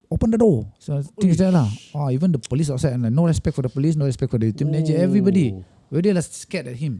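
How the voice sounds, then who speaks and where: Very fast and somewhat breathy, a man with a Malaysian accent speaks at a fairly high pitch with a dark, mellow tone and lively intonation. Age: 60s. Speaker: airline cabin crew. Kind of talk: interview answer. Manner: storytelling.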